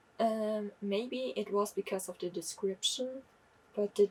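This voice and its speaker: The speaker goes at a very slow pace, somewhat breathy, with ordinary pitch variation. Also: woman. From Germany. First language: German. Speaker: book vlogger. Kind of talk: casual book review monologue. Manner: halting, self-correcting.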